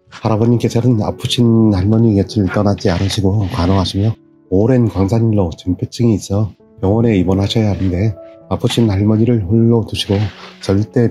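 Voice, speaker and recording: A man speaks in a fairly low pitch at a moderate pace, his intonation fairly even. His loudness stays very even while music plays in the background. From Gangwon Province, South Korea. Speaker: herbalist and channel host. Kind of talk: video intro narration.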